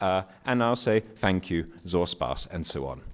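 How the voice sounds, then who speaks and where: A man with a very deep, low pitch is heard in a very clean recording with a silent background. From Germany. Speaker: academic researcher. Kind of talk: conference paper presentation.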